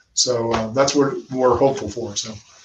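A man with an American accent speaks at a moderate pace. His pitch is fairly high, and his voice is somewhat breathy. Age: 50s. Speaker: former international rugby player and sports executive. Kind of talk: interview.

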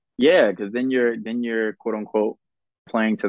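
Fairly low in pitch, a man with an American accent talks at a fairly quick pace. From South Carolina, Columbia. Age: 20s. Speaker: baseball player and reality TV contestant. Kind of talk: casual interview.

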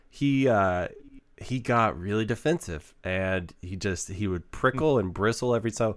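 A man's fairly low voice, animated in tone with lively intonation, on a very clean recording with a silent background. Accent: American. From Texas, Waco. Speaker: podcast host. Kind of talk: casual interview chat. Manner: animated, laughs often.

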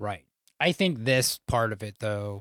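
In a dry, close sound with no echo, a man speaks at a moderate pace. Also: very clean recording, silent background. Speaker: podcast host. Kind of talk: casual banter between co-hosts. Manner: monotone.

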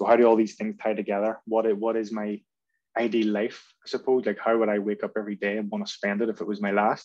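In a Belfast accent, a man talks at a very fast pace with a fairly low pitch and monotone, flat intonation. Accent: Belfast Northern Irish. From Northern Ireland, North Belfast. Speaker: football coach. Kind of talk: podcast interview. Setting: video call.

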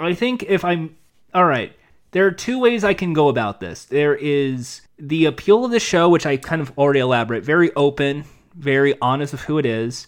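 This man speaks at a moderate pace with lively intonation and a fairly high pitch. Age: 30s. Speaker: game show podcast host. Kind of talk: casual podcast chat. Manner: rambling, halting, self-interrupting.

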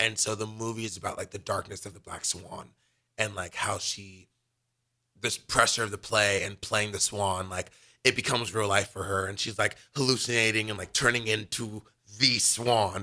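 A man's fairly low voice, bright and sharp in tone, at a moderate pace with flat, monotone intonation, on a very clean recording with a silent background. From Los Angeles, California. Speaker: college gymnast and radio co-host. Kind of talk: casual chat. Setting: live radio studio show.

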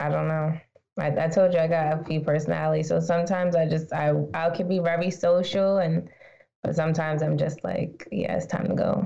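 A woman's fairly low voice at a fairly quick pace. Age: 20s. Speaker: podcast host. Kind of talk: casual chat. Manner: animated.

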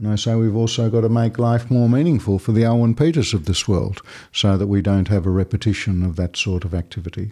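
Over a quiet background, a man with an Australian accent rushes along at a very fast pace with hardly any pauses, his voice fairly low in pitch with a dark, mellow tone. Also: ordinary pitch variation. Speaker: Jesuit priest and lawyer. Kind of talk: interview.

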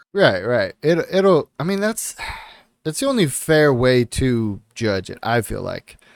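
With very wide pitch swings, the speech moves at a fairly slow pace in a dry, close sound with no echo. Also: man, fairly high pitch for a man. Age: 30s. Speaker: podcast co-host. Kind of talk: casual chat.

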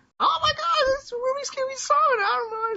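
A female-sounding put-on character voice, extremely high in pitch for a woman, at a fairly quick pace. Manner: panicked, freaking out.

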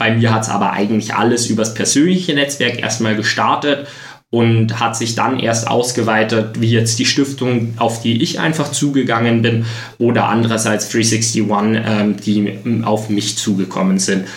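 A man at medium pitch and a moderate pace, fairly even intonation and very even loudness, with audible room echo and noticeable background noise. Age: 20s. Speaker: triathlete. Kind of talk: interview. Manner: many fillers like äh, ähm.

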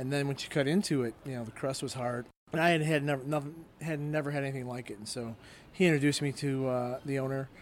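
Talking at a very fast pace in a Chicago accent, a man with a fairly high pitch shows ordinary pitch variation. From Chicago south suburbs. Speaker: restaurant owner and baker. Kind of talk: interview. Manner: halting.

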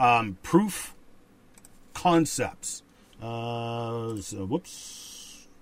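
A man talks in an ordinary speaking voice with a Canadian accent. His pitch is medium, with ordinary variation. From rural Canada. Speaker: podcast co-host. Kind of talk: casual chat and commentary. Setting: livestream studio on camera.

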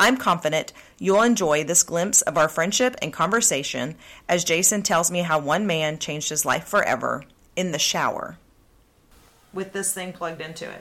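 A woman with an American accent and an ordinary speaking voice talks at a fairly low pitch and a fairly quick pace, with ordinary pitch variation and big swings in loudness. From Oklahoma. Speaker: podcast host. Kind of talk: casual interview chat.

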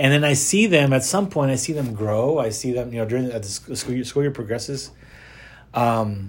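Somewhat breathy and medium in pitch, a man speaks at a fairly quick pace with ordinary pitch variation. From Texas, Rio Grande Valley (McAllen). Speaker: school director of mission, campus ministry. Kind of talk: interview. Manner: hesitant, many fillers.

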